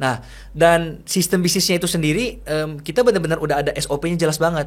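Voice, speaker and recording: At a very fast pace, a man with a Makassar accent speaks in a high pitch with ordinary pitch variation. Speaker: content creator and entrepreneur. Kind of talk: interview conversation.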